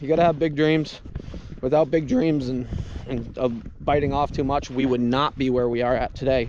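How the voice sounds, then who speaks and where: A man's fairly high pitch in a monotone, flat intonation, with noticeable background noise. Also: moderate pace. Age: young. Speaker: farmer / vlogger. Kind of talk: casual vlog talk.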